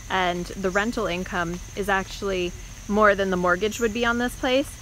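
Against light background noise, a woman speaks at a moderate pace with fairly even intonation and a dry sound with no echo. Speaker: house hunter vlogger. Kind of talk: casual vlog chat. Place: open country. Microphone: phone near.

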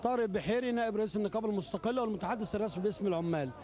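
Against light background noise, a man speaks very fast in a high voice, the sound dry with no echo. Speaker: union spokesman. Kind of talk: interview answer. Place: street. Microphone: handheld.

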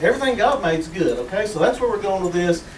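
As a man talks, audible room echo and light background noise can be heard. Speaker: pastor. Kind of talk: sermon. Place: church. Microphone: camera far.

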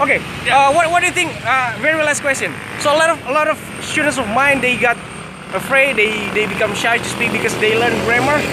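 Noticeable background noise surrounds a man speaking with an Indonesian accent in a raised, projected voice. His pitch is extremely high and his pace fairly quick. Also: ordinary pitch variation. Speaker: English teacher vlogger. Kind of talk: casual street interview. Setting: outdoors. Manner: halting. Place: street. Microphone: phone near.

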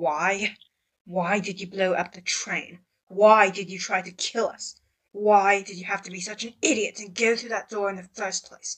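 Using a put-on character voice, a woman speaks at a moderate pace with a medium pitch. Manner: angry, accusing, rapid questions.

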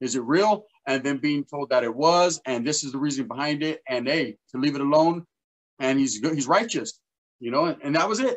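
A man with an American accent speaks at a fairly quick pace in a fairly high pitch, with ordinary pitch variation over a quiet background. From Northern California (Merced County); Northern California. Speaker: YouTuber, former gang member; interview guest. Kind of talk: casual interview. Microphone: webcam.

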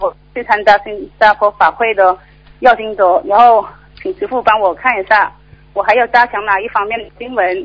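In an ordinary speaking voice, a woman talks at a fairly high pitch with big swings in loudness. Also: ordinary pitch variation, moderate pace, quiet background. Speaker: caller. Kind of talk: call-in Q&A. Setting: phone call. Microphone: phone line.

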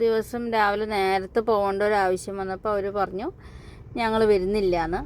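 Here is a woman with an ordinary speaking voice. Her pitch is medium. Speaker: family vlogger. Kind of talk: casual chat.

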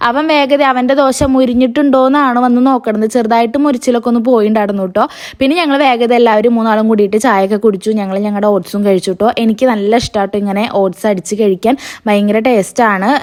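An ordinary speaking voice from a woman, fairly high in pitch, with ordinary pitch variation and very even loudness. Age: 20s. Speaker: family vlogger. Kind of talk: casual vlog narration.

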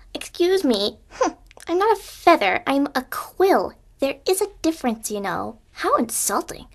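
A woman puts on a character voice, high-pitched and swinging very widely in pitch. She speaks at a moderate pace. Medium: voice reel. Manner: haughty, indignant.

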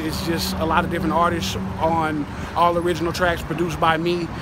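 Loud background noise surrounds a man with an American accent who speaks quickly-ish in a high voice, the sound dry with no echo. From California, Bay Area; California. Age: 30s. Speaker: DJ and music producer; DJ. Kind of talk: street interview. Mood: calm, earnest. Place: street.

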